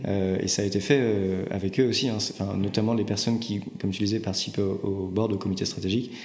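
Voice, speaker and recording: A man at a very fast pace with hardly any pauses, fairly low in pitch and monotone and flat, with audible room echo. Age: 30s. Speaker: startup co-founder and CEO. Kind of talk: interview conversation. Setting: company office. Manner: hesitant, with frequent word repetitions.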